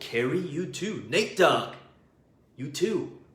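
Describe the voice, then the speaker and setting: Over noticeable background noise and audible room echo, a man speaks at a high pitch in an animated tone with very wide pitch swings. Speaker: business coach. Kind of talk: live stream teaching. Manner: loud.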